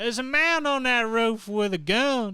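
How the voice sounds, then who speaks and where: Using a put-on character voice, a man projects loudly at an extremely high pitch. The pace is moderate, and the recording is very clean with a silent background. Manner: urgent, shouting.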